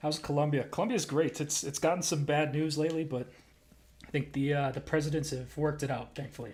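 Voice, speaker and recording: A man talks at a very fast pace, his pitch fairly high. His intonation is fairly even, and his voice is somewhat breathy. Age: 20s. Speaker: streamer. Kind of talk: casual chat. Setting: live stream.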